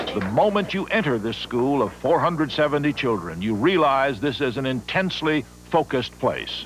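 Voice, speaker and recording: With music in the background, a man at a fairly high pitch speaks at a moderate pace, his pitch swinging very widely in a dry sound with no echo. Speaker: documentary narrator / news reporter. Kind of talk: TV news documentary narration.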